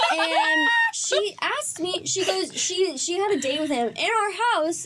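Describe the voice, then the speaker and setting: A woman mumbling with very wide pitch swings over noticeable background noise. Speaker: book podcast host. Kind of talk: casual chat.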